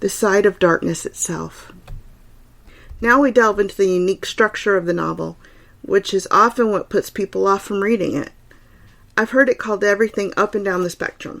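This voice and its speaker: A woman with a Southern US accent speaks at medium pitch with ordinary pitch variation. Her pace is fairly quick, though she takes long, frequent pauses. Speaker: podcast host. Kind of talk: literary discussion podcast. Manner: occasionally slurred words.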